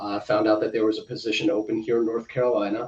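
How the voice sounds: A man talking at a very fast pace with a slight New York accent.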